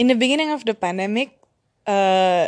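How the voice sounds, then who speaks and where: A woman with an ordinary speaking voice, medium in pitch, at a fairly slow pace. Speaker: student podcaster. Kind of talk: casual monologue.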